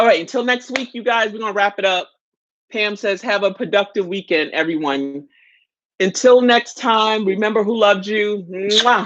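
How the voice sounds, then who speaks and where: A woman with a New York accent speaks in an animated tone at a moderate pace and medium pitch, varying it in an ordinary way. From New York City. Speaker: live chat host. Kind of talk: casual live stream chat.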